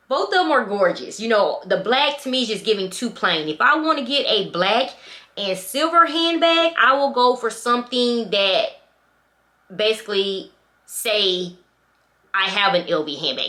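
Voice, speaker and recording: The voice is loud, with a bright, sharp tone and very wide pitch swings at a moderate pace. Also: woman. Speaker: luxury handbag vlogger. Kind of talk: product review vlog. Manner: animated.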